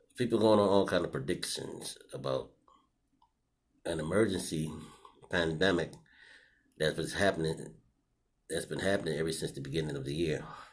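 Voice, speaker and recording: A man talks at a moderate pace with long, frequent pauses. His voice is very deep and low, with vocal fry and ordinary pitch variation. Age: 60s. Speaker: vlogger. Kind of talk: personal video commentary. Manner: casual with many fillers.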